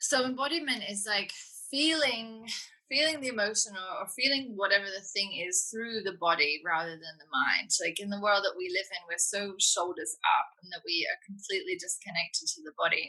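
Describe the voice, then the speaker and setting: In a British accent, a woman speaks at a medium pitch with lively intonation and big swings in loudness. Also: moderate pace. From Britain. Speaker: women's coach and embodiment facilitator. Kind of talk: interview conversation. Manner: gentle, tender; sensual, seductive.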